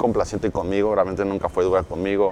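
Noticeable background noise beneath fairly quick speech. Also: man. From Mexico City. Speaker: network marketing entrepreneur. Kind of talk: interview.

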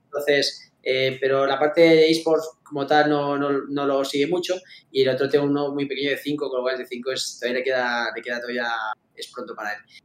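This man speaks at a fairly quick pace in an ordinary speaking voice, fairly high in pitch, with fairly even intonation. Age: 40s. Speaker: esports club founder and executive. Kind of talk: interview.

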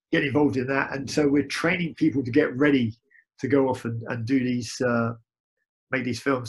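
Intonation stays fairly even throughout. The somewhat breathy voice keeps a moderate pace. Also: man. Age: 50s. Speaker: martial arts instructor. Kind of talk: interview.

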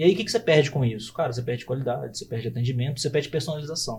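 Somewhat breathy, a man talks at a very fast pace. His pitch variation is ordinary. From Brazil, Belo Horizonte. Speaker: accounting firm founder. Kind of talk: podcast interview.

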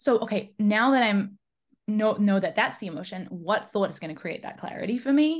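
Fairly high, somewhat breathy female voice at a fairly quick pace, with lively intonation and big swings in loudness. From New Zealand. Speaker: high performance coach. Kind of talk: casual interview chat. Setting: remote call.

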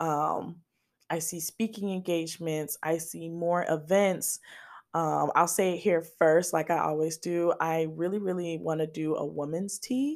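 A fairly low-pitched woman at a fairly slow pace. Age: 20s. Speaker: blogger and podcast host. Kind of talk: casual solo monologue. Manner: animated, rambling.

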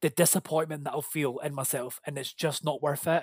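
With a Scottish accent, a man talks at a moderate pace in a fairly high pitch and fairly even intonation, with a dry, close sound and no echo. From Scotland. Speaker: podcast guest sharing sobriety story. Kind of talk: personal testimony in casual chat.

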